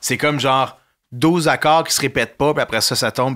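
On a very clean recording with a silent background, a man with a Quebec accent talks in a bright, sharp tone at a fairly high pitch with ordinary pitch variation. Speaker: musician. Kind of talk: casual chat.

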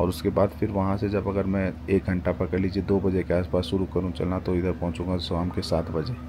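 With noticeable background noise, a man speaks at a moderate pace in a very deep, low pitch. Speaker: travel vlogger. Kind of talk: casual vlog chat. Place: street. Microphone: phone near.

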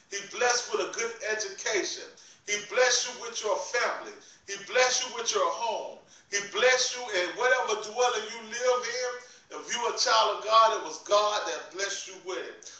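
The voice is raised and projected, with big swings in loudness, ordinary pitch variation and a moderate pace. Room echo is audible, and music plays in the background. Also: man. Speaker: preacher. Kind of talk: sermon. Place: home room. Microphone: phone near.

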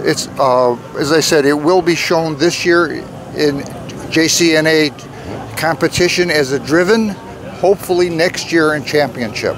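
Crowd noise carries in the background as a man talks at a fairly slow pace. His loudness stays very even, his pitch varies in an ordinary way, and the sound is dry with no echo. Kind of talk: interview answer. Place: street.

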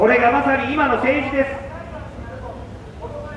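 This man talks in an extremely high pitch with monotone, flat intonation. There is noticeable background noise along with audible room echo. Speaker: campaign speaker. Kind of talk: street speech. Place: street. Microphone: pa.

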